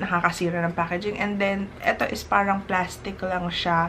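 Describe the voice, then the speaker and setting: A woman at a medium pitch and fairly slow pace, with noticeable background noise. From Philippines. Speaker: skincare vlogger. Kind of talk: product review. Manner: casual, chatty.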